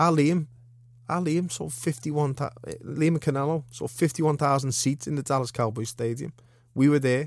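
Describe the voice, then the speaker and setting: Fairly even intonation in a Liverpool accent at a moderate pace. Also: man, fairly high pitch for a man. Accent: Scouse. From Liverpool, England. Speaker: professional boxer. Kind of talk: casual interview.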